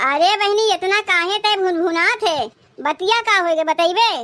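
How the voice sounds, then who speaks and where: A cartoonish character voice from a woman, pitched extremely high, with ordinary pitch variation. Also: moderate pace. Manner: calm, easily persuaded.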